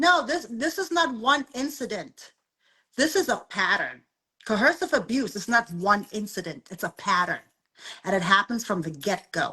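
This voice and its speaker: Fairly high in pitch, a woman's voice has a bright, sharp tone. She keeps a moderate pace and makes very wide pitch swings. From South Africa. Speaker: abuse survivor and advocate. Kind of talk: interview conversation.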